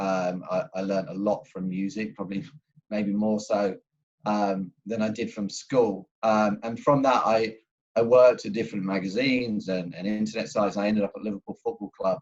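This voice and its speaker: A man speaks at a moderate pace in a fairly low pitch. His pitch varies in an ordinary way. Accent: English. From England. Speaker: football club executive. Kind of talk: panel discussion introduction.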